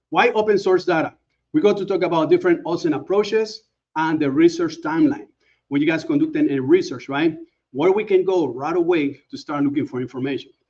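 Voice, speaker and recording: Speaking at a fairly quick pace with a Panamanian accent, a man uses lively intonation in a high-pitched voice. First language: Spanish. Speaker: OSINT expert, conference speaker. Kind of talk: conference presentation. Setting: conference talk.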